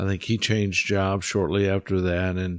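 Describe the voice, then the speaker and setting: A man with a Midwestern US accent speaks in a monotone, flat intonation at a fairly low pitch, on a very clean recording with a silent background. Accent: US Midwest. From Kansas. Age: 60s. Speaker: guest. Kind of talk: interview.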